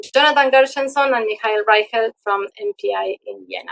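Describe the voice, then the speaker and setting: A woman speaks at a moderate pace with a Spanish accent. Her pitch is high, and it varies in an ordinary way. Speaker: researcher. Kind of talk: lecture.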